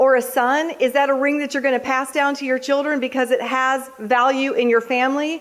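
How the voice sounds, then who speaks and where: The speaker has an American accent and a fairly quick pace. Noticeable background noise runs underneath. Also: woman. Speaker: Gold Star mother and national speaker. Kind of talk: motivational speech to live audience.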